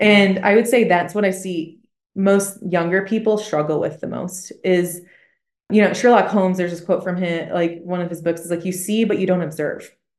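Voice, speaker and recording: A woman's ordinary speaking voice at a medium pitch, with fairly even intonation and a moderate pace. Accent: American. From Michigan. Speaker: missionary. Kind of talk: casual chat.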